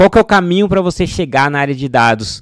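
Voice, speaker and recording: The sound is dry with no echo. A man with a high pitch talks at a fairly quick pace with lively intonation. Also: quiet background. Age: 30s. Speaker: data scientist and educational YouTuber; data career educator. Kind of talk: sales pitch; casual tutorial to camera. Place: home room. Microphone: studio mic.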